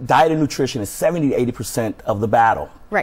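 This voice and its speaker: The man's voice sounds somewhat breathy. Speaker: personal fitness trainer. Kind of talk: TV interview. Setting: TV studio. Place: studio.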